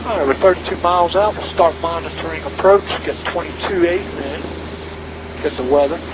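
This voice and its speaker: A man's fairly quick speech comes through clearly audible noise in the background. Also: ordinary pitch variation. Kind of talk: cockpit checklist and radio calls. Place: plane. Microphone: headset.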